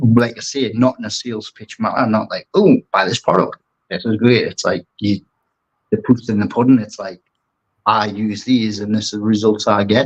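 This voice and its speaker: Speaking in a strong Geordie accent, a man with a medium pitch keeps his intonation fairly even in a dry, close recording with no echo. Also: moderate pace. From northeast England, Newcastle. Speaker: aquascaper and brand ambassador. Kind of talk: casual interview chat.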